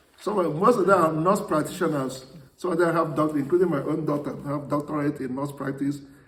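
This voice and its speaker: There is noticeable background noise and audible room echo around this man. He talks at a fairly quick pace with a fairly high pitch and ordinary pitch variation. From Nigeria. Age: 70s. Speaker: priest. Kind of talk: interview. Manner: halting.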